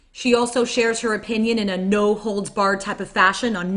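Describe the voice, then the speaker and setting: Over noticeable background noise, a woman talks at a fairly quick pace and medium pitch. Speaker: podcast host and interpreter. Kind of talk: podcast intro and live interpreting. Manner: upbeat.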